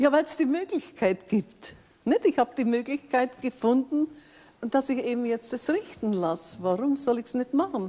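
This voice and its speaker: A woman with a high voice speaks at a moderate pace with lively intonation. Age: 80s+. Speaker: cosmetic surgery patient; talk show guest. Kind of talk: TV studio interview. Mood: cheerful, self-assured. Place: studio. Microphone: lapel.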